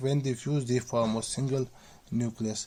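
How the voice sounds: Speaking slowly, a man uses a dark, mellow tone at medium pitch with fairly even intonation.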